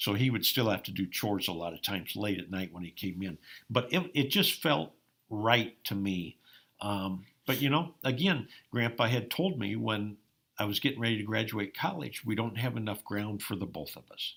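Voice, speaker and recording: In a very clean recording with a silent background, a man with an Upper Midwest accent talks at a moderate pace in a fairly low voice with lively intonation. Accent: Upper Midwest American. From Iowa, US Midwest. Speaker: farmer and former college basketball player. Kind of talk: interview. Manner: frequent hesitations with um.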